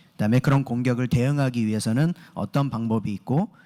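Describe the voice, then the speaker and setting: In a very clean recording with a silent background, a man's dark, mellow tone comes through with a dry, close sound and no echo. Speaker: security engineer and conference speaker. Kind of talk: conference presentation. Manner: fast, hurried; frequent filler 'eo' hesitations.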